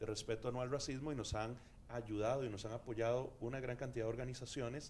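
A man talks at a fairly quick pace in a monotone, flat delivery. Light background noise can be heard. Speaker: campaign representative on a panel. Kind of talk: panel discussion answer. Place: studio. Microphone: handheld.

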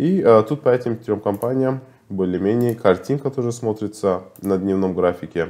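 At a moderate pace, a man talks in a dark, mellow tone with ordinary pitch variation. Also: fairly low pitch for a man. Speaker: market analyst. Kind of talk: market analysis video. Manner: halting, with filler sounds. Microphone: webcam.

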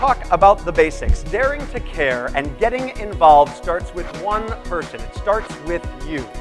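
With clear music in the background, a man talks with hardly any pauses. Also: moderate pace. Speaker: professional speaker, comedian and juggler. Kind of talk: motivational keynote stage talk to an audience. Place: stage.

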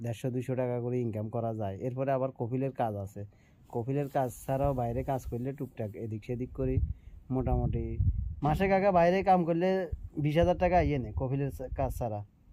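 Lively intonation runs through a tone that is dark and mellow. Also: man, medium pitch for a man. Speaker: vlogger, migrant worker. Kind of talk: casual vlog talk.

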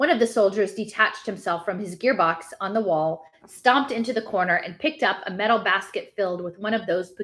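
Ordinary pitch variation in plain reading aloud.

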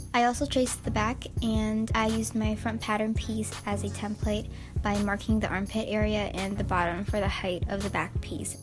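A woman at a moderate pace with hardly any pauses, music in the background. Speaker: sewing YouTuber. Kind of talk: DIY tutorial voiceover.

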